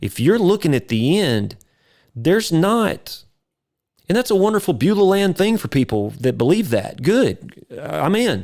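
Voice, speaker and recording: The voice is animated and fairly slow with very wide pitch swings, on a very clean recording with a silent background. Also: man, high pitch for a man. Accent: East Texas. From East Texas (near Carthage). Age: 50s. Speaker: videographer and entrepreneur. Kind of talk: podcast interview, personal storytelling.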